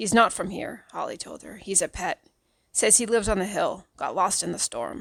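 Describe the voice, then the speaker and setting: A woman's raspy, put-on character voice at medium pitch and moderate pace, on a very clean recording with a silent background. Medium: read story. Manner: curt, hard.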